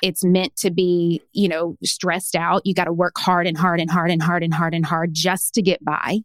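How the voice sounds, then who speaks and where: A woman's fairly low, monotone voice with a Tennessee accent, at a moderate pace with hardly any pauses, very even loudness and a dry, close sound with no echo. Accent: Southern US (Tennessee). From small-town Tennessee. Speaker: personal branding coach and author. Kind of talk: podcast interview.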